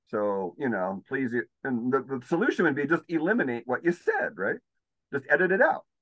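Dry and close with no echo, the voice carries an American accent and very wide pitch swings. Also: man, fairly high pitch for a man, moderate pace. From California. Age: 50s. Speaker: healer. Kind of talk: casual chat.

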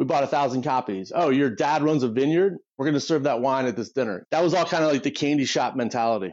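Talking at a very fast pace with hardly any pauses, a man with a Midwestern American accent sounds animated, his pitch fairly high with ordinary pitch variation and very even loudness. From US Midwest, Detroit area. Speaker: political strategist. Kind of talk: interview conversation.

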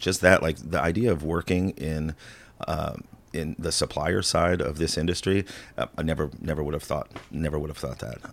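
A man with an American accent, a very deep, low pitch and vocal fry, at a moderate pace with ordinary pitch variation. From US Midwest, rural Illinois. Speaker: spirits brand market manager. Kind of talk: casual chat.

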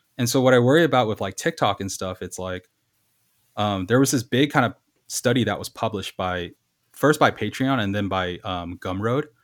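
An ordinary speaking voice, this man's is fairly low in pitch with ordinary pitch variation and an American accent, sounding dry and close with no echo on a very clean recording over a silent background. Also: fairly quick pace. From Los Angeles, US. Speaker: graphic designer. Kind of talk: casual chat.

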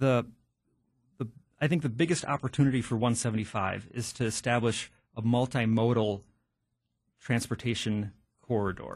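Speaking with an American accent at a moderate pace, the somewhat breathy voice shows ordinary pitch variation and long, frequent pauses against a quiet background. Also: man, medium pitch for a man. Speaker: county supervisor. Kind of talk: radio interview.

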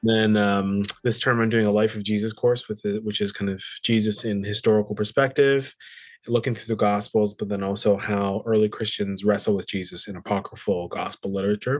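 Against a quiet background, a man with a Canadian accent speaks fairly quickly at a fairly low pitch in monotone, flat intonation. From Canada, British Columbia (Surrey). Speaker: Bible professor and musician. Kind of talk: casual interview.

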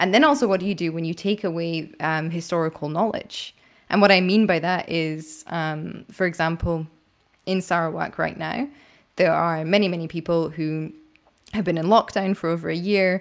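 A woman with a Scottish accent, fairly low in pitch and fairly even in intonation, on a very clean recording with a silent background. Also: moderate pace. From Scotland. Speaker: podcast host and investigative journalist. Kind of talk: interview conversation. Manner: informal, conversational.

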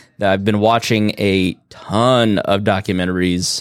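Someone with a Midwestern American accent is heard in a very clean recording with a silent background. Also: man. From Indiana, US Midwest. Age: 30s. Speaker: podcast host. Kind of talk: casual chat.

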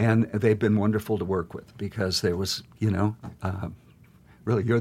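Speaking at a moderate pace in an American accent, a man with a fairly low pitch sounds somewhat breathy, his intonation fairly even. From Montana, US. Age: 60s. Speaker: painter and printmaker. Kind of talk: interview. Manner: halting, many fillers.

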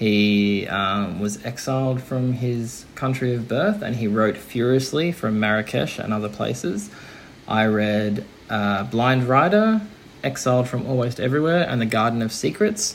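Noticeable background noise sits behind a man at a medium pitch. He speaks at a fairly slow pace with ordinary pitch variation. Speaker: listener contributor. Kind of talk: recorded audio message.

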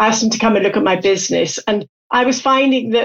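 Her pitch fairly high, a woman speaks with a British accent. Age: 60s. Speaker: company CEO. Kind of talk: interview. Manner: animated.

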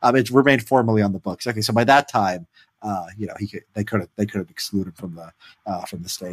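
A man with a Chicago accent talks at a very fast pace, his fairly low voice showing ordinary pitch variation. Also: big swings in loudness, dry, close sound with no echo. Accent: Chicago-area American. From Chicago south suburbs, US Midwest. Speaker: podcast host. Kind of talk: casual chat.

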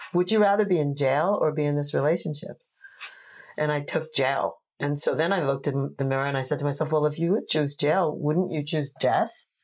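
A woman with a New York accent at a fairly quick pace, very deep and low in pitch, with ordinary pitch variation and very even loudness. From New York, Long Island. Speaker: tantra teacher. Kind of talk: casual chat. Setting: home office.

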